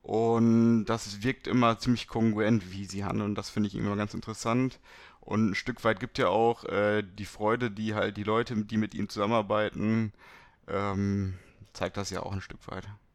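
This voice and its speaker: Spoken at a moderate pace in a monotone with flat intonation. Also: man, fairly low pitch for a man. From Germany, Beckum (Westphalia). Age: 20s. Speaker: startup co-founder in sales. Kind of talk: casual interview. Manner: hesitant, many fillers.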